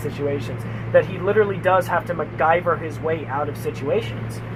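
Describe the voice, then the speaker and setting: A man at a fairly quick pace amid noticeable background noise. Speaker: podcast co-host. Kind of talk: casual chat. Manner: many filler sounds.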